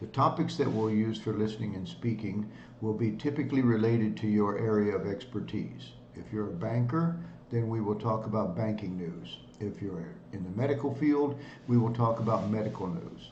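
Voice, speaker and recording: Medium-pitched male voice with vocal fry. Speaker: English tutor. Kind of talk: casual talk to camera.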